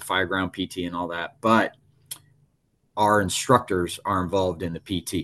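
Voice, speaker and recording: Against a quiet background, the delivery is monotone and flat at a moderate pace. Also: man. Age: 40s. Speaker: fire battalion chief. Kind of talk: interview.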